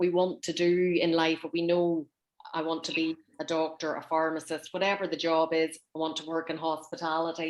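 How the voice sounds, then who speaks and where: This woman has a fairly low voice and keeps to a moderate pace. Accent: Northern Irish. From Northern Ireland. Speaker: interviewer. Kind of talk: interview.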